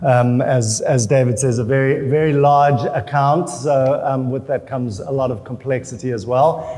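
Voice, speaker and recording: With a South African accent, a man speaks at a moderate pace with hardly any pauses and fairly even intonation over noticeable background noise. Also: medium pitch for a man. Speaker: chief creative officer. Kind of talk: panel discussion.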